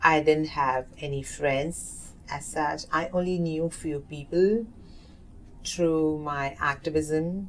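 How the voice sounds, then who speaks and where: A woman speaks in an Indian accent at a very slow pace. Her pitch is very deep and low, and her intonation fairly even. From South Asia. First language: Hindi. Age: 30s. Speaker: oral history narrator. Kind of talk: interview. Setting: community center. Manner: halting.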